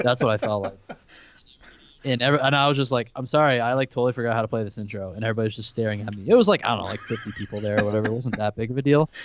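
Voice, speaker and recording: A man talks at a very fast pace. His intonation stays fairly even. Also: medium pitch for a man. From Vermont. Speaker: worship leader. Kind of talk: casual chat.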